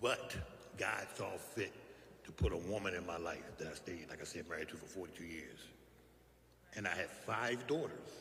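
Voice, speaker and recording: A man speaks with a very deep, low pitch and long, frequent pauses. Room echo can be heard. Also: ordinary pitch variation, moderate pace, big swings in loudness. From West Philadelphia. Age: 60s. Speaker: recovery speaker. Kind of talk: testimony.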